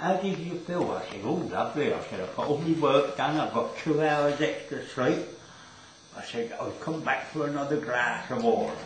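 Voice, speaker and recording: With a Cockney accent, a man speaks at a fairly high pitch with lively intonation, amid audible room echo and noticeable background noise. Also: moderate pace. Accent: London Cockney. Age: 80s+. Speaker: centenarian worker. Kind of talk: casual interview. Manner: animated storytelling.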